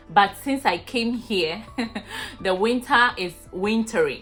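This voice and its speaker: Over background music, a woman speaks fairly slowly in a Ghanaian accent, with ordinary pitch variation. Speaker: vlogger. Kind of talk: casual talk to camera.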